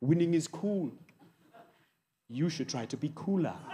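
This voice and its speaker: Speaking at a fairly slow pace with a South African accent, a man uses a fairly high pitch, ordinary pitch variation and a dark, mellow tone, with light background noise. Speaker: comedian. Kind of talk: stand-up comedy set. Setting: live audience on stage. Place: stage. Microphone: handheld.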